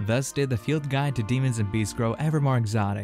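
With music in the background, a man speaks at a fairly quick pace and ordinary pitch variation. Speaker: narrator. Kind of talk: reading aloud.

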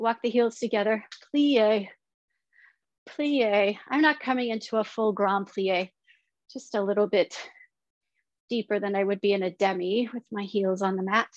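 Her pace moderate and her pitch variation ordinary, a woman speaks with long, frequent pauses in a dry sound with no echo against a quiet background. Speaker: fitness instructor. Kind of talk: guided exercise class with rhythmic cues and countdowns. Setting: online workout video at home. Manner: brisk, rhythmic, encouraging. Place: home room.

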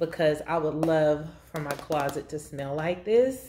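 With ordinary pitch variation, a woman talks. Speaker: beauty vlogger. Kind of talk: casual vlog chat. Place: kitchen. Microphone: phone near.

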